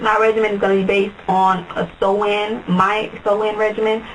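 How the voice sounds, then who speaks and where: A woman speaks over noticeable background noise. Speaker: beauty vlogger. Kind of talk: tutorial. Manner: fast.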